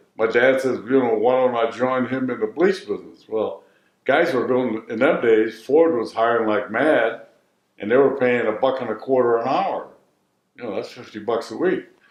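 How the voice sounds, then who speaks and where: At a moderate pace, a man talks in a medium-pitched voice with a Midwestern accent. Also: ordinary pitch variation. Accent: American Midwest. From Detroit, Michigan. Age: 80s+. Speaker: retired bleach business owner. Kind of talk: interview answer.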